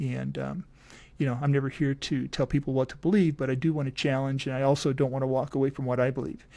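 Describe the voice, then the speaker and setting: Speaking at a fairly quick pace, a man with an American accent keeps to a medium pitch. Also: very clean recording, silent background. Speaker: podcast host and coach. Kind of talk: casual podcast outro. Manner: fast.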